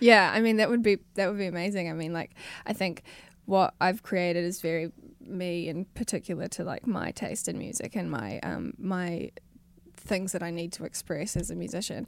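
A woman with a New Zealand accent talks at fairly low pitch. The recording is very clean, with a silent background. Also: ordinary pitch variation, moderate pace. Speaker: musician. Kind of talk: interview. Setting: studio.

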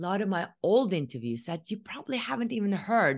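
A woman with a Norwegian accent and very wide pitch swings over a quiet background. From Norway. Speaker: spiritual podcast host. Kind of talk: solo monologue.

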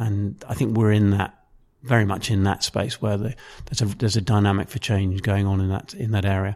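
A man's fairly low, monotone voice with flat intonation and a southern English accent, at a fairly quick pace, on a very clean recording with a silent background. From southern England (Maidenhead, Berkshire). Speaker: football club marketing executive. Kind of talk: interview. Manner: hesitant, many fillers.

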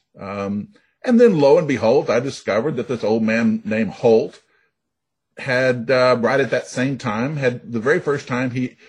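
A man with an American accent speaks at a moderate pace against a quiet background. His voice is somewhat breathy, medium in pitch, with ordinary pitch variation. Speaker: novelist. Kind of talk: interview.

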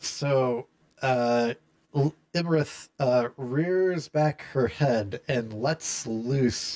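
The reading is done in an unforced reading voice with ordinary pitch variation.

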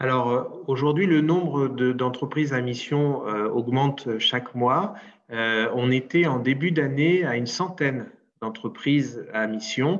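At a very slow pace, a man with a medium pitch speaks, his pitch moving in an ordinary way. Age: 40s. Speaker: entrepreneur. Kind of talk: interview.

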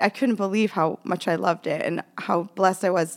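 In an American accent, a woman speaks on a very clean recording with a silent background. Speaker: fashion label founder. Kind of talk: casual interview chat.

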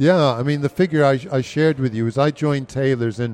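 In a very clean recording with a silent background and a dry, close sound with no echo, a man with an American accent speaks in an unremarkable speaking voice at medium pitch with ordinary pitch variation. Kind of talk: casual interview.

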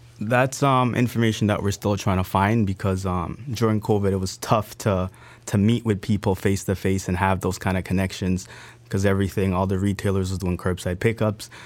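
A man talks at a fairly quick pace in a plain, everyday voice, fairly low in pitch with fairly even intonation, on a very clean recording with a silent background. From Grenada, raised in Canada. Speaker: entrepreneur. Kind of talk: interview.

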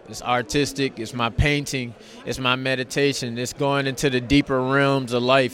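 A man at medium pitch and a moderate pace, monotone and flat in intonation, over noticeable background noise. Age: young. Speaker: boxer. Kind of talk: press interview. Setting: arena press event.

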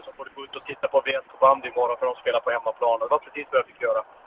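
A man speaks over noticeable background noise. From Sweden, Norrbotten (Pajala). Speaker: ice hockey coach and former player. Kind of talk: long interview. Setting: in a car.

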